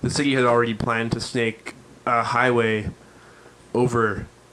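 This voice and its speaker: A man speaks at a moderate pace with medium pitch, in a monotone, flat intonation and with long, frequent pauses. Noticeable background noise is present. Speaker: podcast host. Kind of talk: casual chat.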